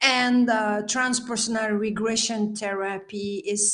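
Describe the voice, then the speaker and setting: At a fairly slow pace, a woman speaks with a French accent. Her voice is fairly high. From Belgium. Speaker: healer and life coach. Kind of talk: interview.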